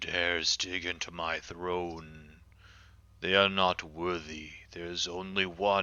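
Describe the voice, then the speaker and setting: Putting on a character voice, a man rumbles in a very deep, low pitch with flat, monotone intonation. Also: fairly slow pace. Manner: angry, imposing.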